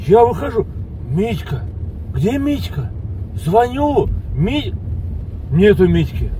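A man speaks at a very slow pace. Light background noise is present. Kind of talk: comic rant to passenger. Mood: exasperated comic complaint. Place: car.

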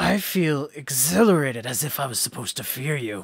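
A man puts on a character voice at a medium pitch, talking at a fairly quick pace. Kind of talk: game master voicing villain. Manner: menacing, eager for battle.

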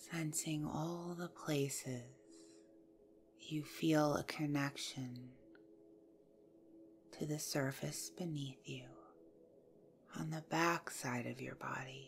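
A woman's very deep, low voice, very slow and somewhat breathy, calm and soothing in tone, with ordinary pitch variation and long, frequent pauses. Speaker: yoga nidra guide. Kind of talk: guided yoga nidra meditation. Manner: slow, calm, soothing.

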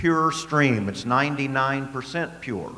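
This man's speech has ordinary pitch variation. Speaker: speaker. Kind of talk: panel discussion answer. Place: stage. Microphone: handheld.

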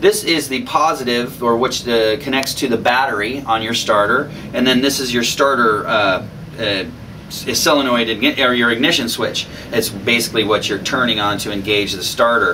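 A man's moderate pace and ordinary pitch variation come through light background noise. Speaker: DIY mechanic host. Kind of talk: tutorial. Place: garage.

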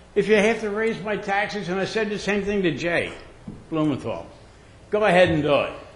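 Speaking fairly quickly with an American accent, a man with a high voice is heard over noticeable background noise and audible room echo. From Pennsylvania, Philadelphia suburbs. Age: 80s+. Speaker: resident speaking at public comment. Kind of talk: public comment at meeting. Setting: township board meeting. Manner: animated.

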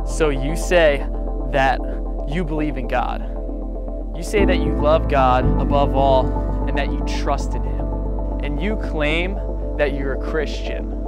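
Loud music plays in the background as a man speaks with long, frequent pauses in a dry sound with no echo. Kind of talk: spoken word poetry performance. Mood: earnest, challenging religious message. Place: forest. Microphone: lapel.

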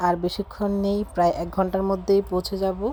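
Her voice is dark and mellow in tone, and this woman speaks at a medium pitch. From Bangladesh, rural village. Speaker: vlogger, mother. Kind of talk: travel vlog narration. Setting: on a bus.

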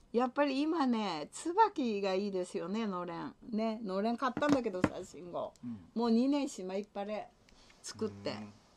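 A woman with a fairly high pitch and lively intonation talks at a moderate pace over noticeable background noise. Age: old. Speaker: livestreamer's mother. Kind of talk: casual livestream chat with viewers. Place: home room. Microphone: webcam.

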